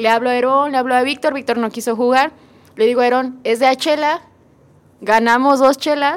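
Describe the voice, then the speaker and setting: A Mexican accent at a moderate pace, with ordinary pitch variation. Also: woman. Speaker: podcast co-host. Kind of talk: casual chat.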